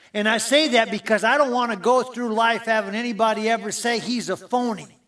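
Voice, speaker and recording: With an American accent, a man talks at a moderate pace in a high pitch and a bright, sharp tone, with ordinary pitch variation. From US Midwest, small-town Minnesota. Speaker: sports broadcaster, guest speaker. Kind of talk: sermon-style talk.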